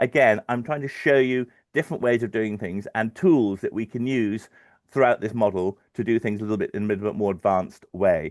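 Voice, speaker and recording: Over a quiet background, a man talks fairly quickly at a medium pitch with ordinary pitch variation, in a dry, close sound with no echo. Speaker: financial modeller. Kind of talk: webinar tutorial. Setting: live stream webinar. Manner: fast; halting, many fillers.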